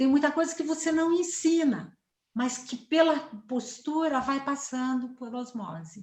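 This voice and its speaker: Lively intonation runs through the fairly slow delivery. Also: woman, high pitch for a woman. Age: 60s. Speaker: psychologist and family therapist. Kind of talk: interview. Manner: fluent, assured.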